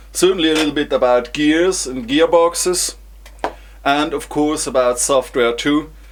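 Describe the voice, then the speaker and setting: This man speaks with a non-native accent. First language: German. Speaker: engineer vlogger. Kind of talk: vlog presentation. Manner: halting, with repetitions.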